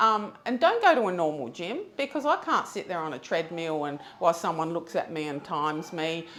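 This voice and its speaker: The speech moves at a moderate pace with hardly any pauses and lively intonation. Noticeable background noise runs underneath. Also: woman. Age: 60s. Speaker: gym member. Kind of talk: interview.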